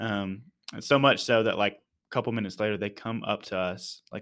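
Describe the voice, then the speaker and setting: The recording is very clean, with a silent background. A man speaks at a moderate pace in a fairly low pitch with fairly even intonation. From Texas, Dallas-Fort Worth area. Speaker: church missions leader. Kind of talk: casual interview.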